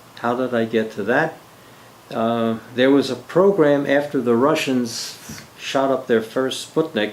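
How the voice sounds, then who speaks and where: Amid noticeable background noise, a man with an American accent speaks at a fairly slow pace in a medium pitch with ordinary variation. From US Northeast, Philadelphia. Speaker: army veteran and retired teacher. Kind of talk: oral history interview. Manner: halting, with many fillers.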